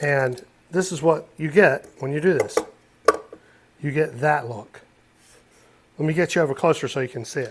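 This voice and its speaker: Somewhat breathy, a man with an American accent and a fairly high pitch uses ordinary pitch variation and long, frequent pauses. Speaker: luthier, guitar builder. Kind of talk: workshop tutorial. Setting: guitar workshop. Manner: fast.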